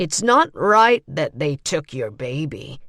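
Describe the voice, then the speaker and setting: In a put-on character voice, a woman growls at a fairly slow pace with a very deep, low pitch, a raspy sound and very wide pitch swings. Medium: read story. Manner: careful and slow.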